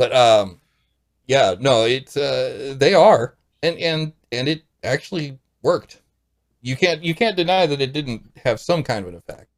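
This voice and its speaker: A man with an American accent, fairly high pitch and vocal fry, lively intonation, a fairly slow pace, and long, frequent pauses. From US Midwest, St. Louis. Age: 40s. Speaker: podcast guest. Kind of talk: casual chat.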